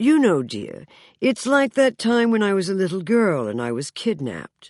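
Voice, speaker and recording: Putting on a character voice, a woman speaks at a medium pitch with very wide pitch swings, recorded dry and close with no echo against a quiet background. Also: moderate pace. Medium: read story. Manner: gracious, genteel.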